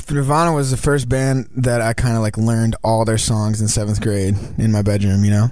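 In an ordinary speaking voice, a man talks at a medium pitch and a fairly quick pace, with fairly even intonation and very even loudness. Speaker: band singer. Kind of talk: casual radio interview. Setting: radio studio.

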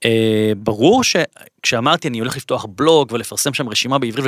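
At a moderate pace and medium pitch, a man talks with a bright, sharp tone, the sound dry and close with no echo on a very clean recording with a silent background. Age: 40s. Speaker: author and lecturer. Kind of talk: interview. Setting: studio. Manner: halting.

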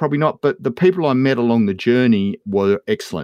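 Speaking with an Australian accent, a man talks at a fairly quick pace with lively intonation. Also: dry, close sound with no echo. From Western Victoria, Australia. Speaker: agribusiness educator. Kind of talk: interview. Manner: halting, repeats words.

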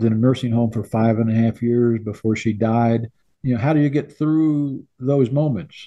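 This man has a Midwestern US accent and a medium pitch. His pace is moderate and his intonation fairly even. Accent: US Midwest. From Illinois. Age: 80s+. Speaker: sportswriter and author. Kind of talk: interview. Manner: halting.

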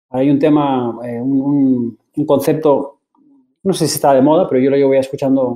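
A man with an ordinary speaking voice talks at a fairly high pitch, keeping his intonation fairly even. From Basque Country, Spain. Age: 40s. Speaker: tech executive. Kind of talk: interview. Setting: podcast.

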